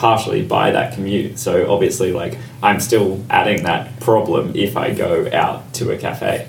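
A man with an Australian accent speaks at a medium pitch with fairly even intonation. Noticeable background noise and audible room echo surround him. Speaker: podcast co-host. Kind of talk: casual chat.

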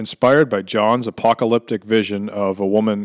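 A man speaks at a moderate pace with a fairly low pitch and fairly even intonation, an ordinary speaking voice. The sound is dry and close with no echo, over a quiet background. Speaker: news reader. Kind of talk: news reading.

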